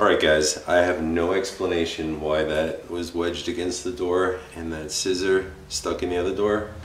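A man's very deep, low voice in a monotone, flat intonation, at a moderate pace with hardly any pauses, plus light background noise and audible room echo. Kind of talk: casual vlog chat. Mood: spooked but laughing. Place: home room. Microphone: camera far.

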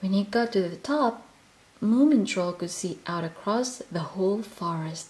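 The passage is read aloud in a natural voice.

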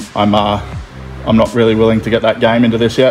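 A man talks very fast in a flat monotone. Clear music plays behind him. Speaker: car audio DIY vlogger. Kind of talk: casual tutorial vlog chat. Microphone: phone near.

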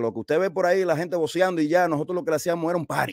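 A man speaks at a fairly high pitch, the sound dry with no echo against a quiet background. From New Jersey and Dominican Republic. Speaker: DJ; guest. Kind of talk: interview. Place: home room. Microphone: studio mic.

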